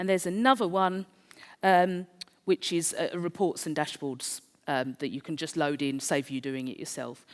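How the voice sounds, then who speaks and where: This speaker has a South East London accent and a moderate pace. The pitch variation is ordinary. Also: woman. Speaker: conference speaker. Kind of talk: presentation.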